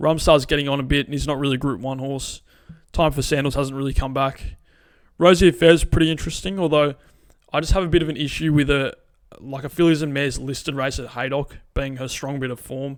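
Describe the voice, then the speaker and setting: A man with an Australian accent and a fairly high voice, very fast in pace and fairly even in intonation. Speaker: horse racing tipster. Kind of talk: casual racing preview. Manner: conversational with many fillers.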